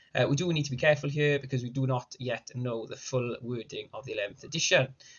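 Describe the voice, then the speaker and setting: A man with a medium-pitched, somewhat breathy voice is heard. He talks very fast. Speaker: wargaming content creator. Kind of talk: casual tactics talk to camera.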